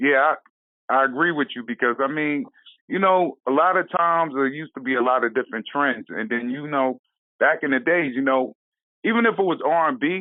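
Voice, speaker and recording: The man has a normal speaking voice at a fairly high pitch, talking at a fairly quick pace with lively intonation. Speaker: radio interviewer. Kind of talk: interview questions.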